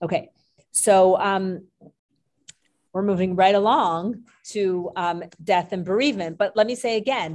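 A woman of medium pitch speaks at a fairly slow pace with ordinary pitch variation and long, frequent pauses. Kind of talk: class lecture. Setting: live class with Zoom participants.

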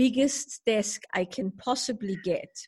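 The woman's voice is somewhat breathy. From Germany. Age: 50s. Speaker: spiritual teacher and author. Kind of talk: interview conversation.

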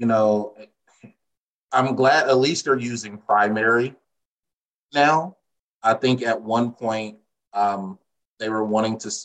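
At a very slow pace with long, frequent pauses, a man speaks at a medium pitch with ordinary pitch variation. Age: 30s. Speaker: real estate agent. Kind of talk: casual interview.

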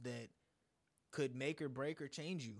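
A man has an ordinary speaking voice, fairly high in pitch. He talks at a moderate pace with fairly even intonation. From US, born in India. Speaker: musician. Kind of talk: casual chat.

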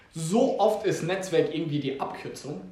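A man speaks with a high pitch and ordinary pitch variation. Audible room echo and noticeable background noise surround his voice. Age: 20s. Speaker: podcast host. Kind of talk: casual chat.

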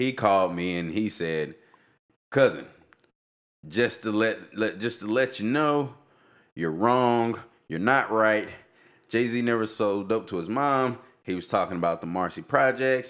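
A man with a fairly low pitch and a fairly bright tone, fairly slow and lively in intonation, on a very clean recording with a silent background.

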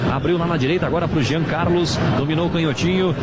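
There is noticeable noise behind this man, whose voice sits high. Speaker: radio football play-by-play announcer. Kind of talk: live sports commentary of a goal. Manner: excited, rapid-fire, shouting the goal call.

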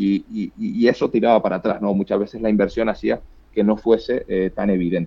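A man with a Canarian accent talks at a fairly quick pace. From Canary Islands. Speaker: startup co-founder and CEO. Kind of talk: interview. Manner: halting, repeats words.

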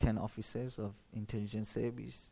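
Speaking at a moderate pace with a Persian accent, a man has a dark, mellow tone and fairly even intonation. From Iran, Shiraz. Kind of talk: testimony. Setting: church stage with audience. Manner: halting.

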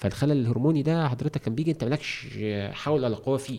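A man's medium-pitched voice, dark and mellow in tone, racing at a very fast pace with ordinary pitch variation. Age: 40s. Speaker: trainer in education and development. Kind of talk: casual interview conversation. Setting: studio. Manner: animated.

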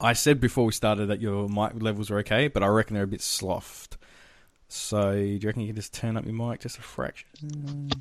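Over a quiet background, a man with a fairly low voice speaks at a fairly quick pace, his pitch varying in an ordinary way. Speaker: podcast host. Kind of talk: casual movie review chat.

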